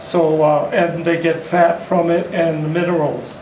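A man with a high voice talks at a very slow pace. Audible room echo and light background noise surround him. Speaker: beekeeper. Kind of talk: panel discussion. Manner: halting. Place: meeting room. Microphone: camera far.

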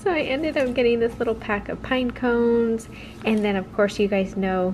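A woman's moderate pace comes through noticeable background noise. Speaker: lifestyle vlogger. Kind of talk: casual haul vlog chat. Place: home room. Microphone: phone near.

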